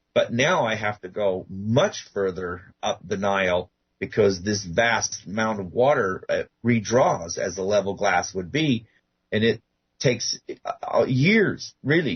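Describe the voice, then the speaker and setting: A somewhat breathy man's voice at a medium pitch. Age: 60s. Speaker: guest researcher on ancient pyramids. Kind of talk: radio interview. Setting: radio show.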